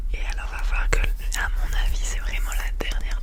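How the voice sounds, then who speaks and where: A woman is whispering at a moderate pace. Noticeable background noise is present. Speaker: ASMR creator. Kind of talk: whispered ASMR unboxing. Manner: whispered, soft.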